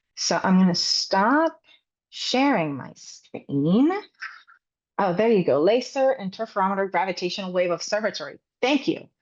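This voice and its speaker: This woman's medium-pitched voice moves in very wide pitch swings. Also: moderate pace. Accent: Spanish. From Puerto Rico. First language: Spanish. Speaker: science communication trainer. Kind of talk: webinar presentation.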